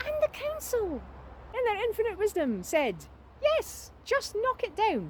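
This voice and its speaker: A woman speaks with an Aberdonian accent at a fairly slow pace. Noticeable background noise runs beneath her voice. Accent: Scottish, Aberdonian. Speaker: historian and tour guide. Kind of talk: casual talk to camera, informal tour-guide narration. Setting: outdoors, with traffic noise. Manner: conversational, explanatory.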